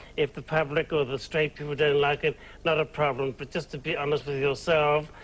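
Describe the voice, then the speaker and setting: A fairly high-pitched man at a fairly quick pace, with a New Zealand accent and monotone, flat intonation. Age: 60s. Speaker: drag performer and nightclub owner. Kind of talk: TV interview. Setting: studio.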